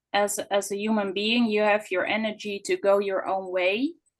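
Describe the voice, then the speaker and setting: A woman talks with a non-native accent. Her medium pitch shows ordinary variation. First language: not English. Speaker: audience member asking a question. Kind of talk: question in online Q&A. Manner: halting, many fillers and restarts.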